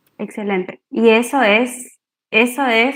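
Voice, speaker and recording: In a high pitch, a woman speaks with monotone, flat intonation. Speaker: speech therapist giving a workshop. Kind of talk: online workshop talk. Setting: video call.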